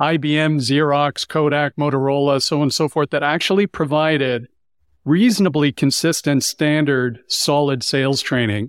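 In a normal speaking voice, a man with a Canadian accent talks at a fairly quick pace and a fairly high pitch, recorded dry and close with no echo against a silent background. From Canada. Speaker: sales coach. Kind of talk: roundtable discussion.

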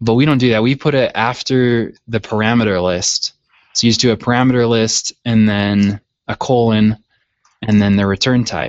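A plain, everyday voice from a man with an American accent, medium in pitch, at a moderate pace. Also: fairly even intonation. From Utah, US. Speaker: PHP website developer. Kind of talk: casual technical discussion.

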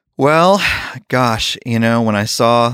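Over a very clean recording with a silent background, a man talks fairly slowly in a normal speaking voice with a fairly low pitch. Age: 30s. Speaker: worship leader and songwriter. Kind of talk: casual interview.

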